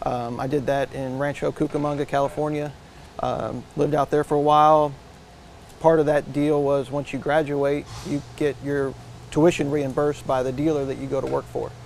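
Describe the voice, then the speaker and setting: Over light background noise, a man speaks at a moderate pace in a monotone, flat intonation, with a dry sound and no echo. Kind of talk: interview answer. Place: garage.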